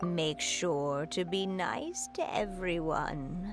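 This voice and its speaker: Over loud music in the background, a woman uses a put-on character voice at a medium pitch. She speaks at a very slow pace. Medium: game stream.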